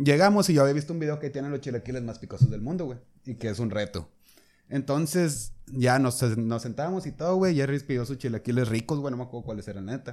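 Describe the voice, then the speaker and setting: A man at a medium pitch rattles along at a very fast pace with ordinary pitch variation. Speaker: podcast guest. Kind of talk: casual chat.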